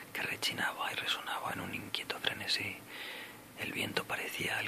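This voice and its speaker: A man whispering over noticeable background noise. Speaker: ASMR creator. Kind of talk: ASMR book reading for sleep. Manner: whispered, soft-spoken, slow.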